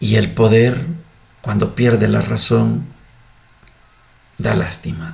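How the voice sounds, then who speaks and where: A man talks very slowly, leaving long, frequent pauses. Audible room echo and noticeable background noise fill the recording. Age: 60s. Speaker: religious radio host. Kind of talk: scripture reflection. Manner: animated.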